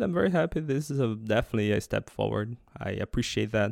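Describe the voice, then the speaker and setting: A man with a Portuguese accent at a fairly quick pace, in a very clean recording with a silent background and a dry, close sound with no echo. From central Brazil (Goiás). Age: 30s. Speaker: podcast host, programming languages researcher. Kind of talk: solo reflective monologue. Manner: halting, with frequent repetitions.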